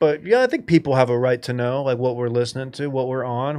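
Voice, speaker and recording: A man with an American accent speaks in a normal speaking voice. His pitch is medium and his intonation fairly even. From US Midwest. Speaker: podcast host. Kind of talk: casual chat.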